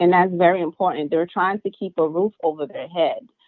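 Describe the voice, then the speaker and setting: Here a woman talks at a medium pitch. Her pitch variation is ordinary. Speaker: guest telling workplace story. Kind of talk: personal testimony. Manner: soft-spoken.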